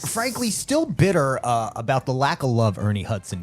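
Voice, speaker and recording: A man talks at a moderate speed. Behind him, music plays. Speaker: podcast co-host. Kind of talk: casual podcast banter.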